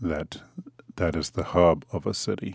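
A man with an American accent, very deep and low, at a very slow pace, with a dry, close sound and no echo. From Detroit, Michigan. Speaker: oral history interviewee. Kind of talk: personal testimony.

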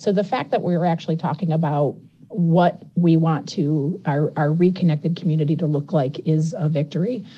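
A woman's fairly low, somewhat breathy voice has a dark, mellow tone and ordinary pitch variation. She keeps a moderate pace and very even loudness. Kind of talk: radio interview.

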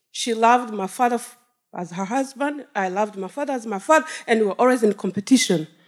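A woman in a Rwandan accent speaks very fast at a fairly high pitch, with ordinary pitch variation and big swings in loudness. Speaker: storyteller, genocide survivor. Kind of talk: live personal storytelling on stage. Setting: stage with audience.

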